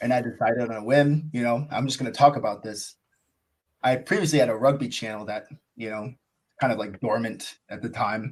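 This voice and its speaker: A man with an American accent at a fairly quick pace, his intonation fairly even. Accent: American accent noticed by others. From United States. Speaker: cricket YouTuber. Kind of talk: podcast interview. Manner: casual, filler-heavy.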